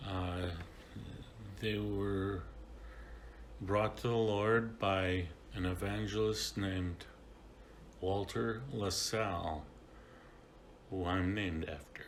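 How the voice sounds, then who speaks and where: A man with an American accent speaks at a very slow pace and fairly low pitch, with long, frequent pauses and ordinary pitch variation, amid noticeable background noise and audible room echo. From US Midwest, Kenosha, Wisconsin. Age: 70s. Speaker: church member sharing life story. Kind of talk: testimony. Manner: halting, with fillers.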